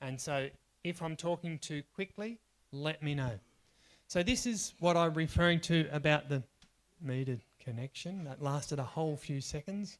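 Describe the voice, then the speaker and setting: A man talks at a moderate pace in an ordinary speaking voice, pitched fairly high with ordinary pitch variation. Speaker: workshop trainer. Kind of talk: workshop lecture.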